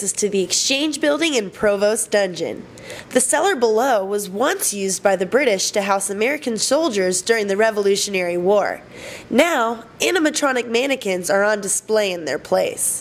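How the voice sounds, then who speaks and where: A woman at a moderate pace, fairly high in pitch with lively intonation, against noticeable background noise. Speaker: student TV reporter. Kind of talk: news feature reporting.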